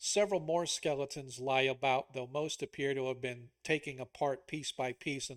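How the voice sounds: What we hear is a natural reading voice.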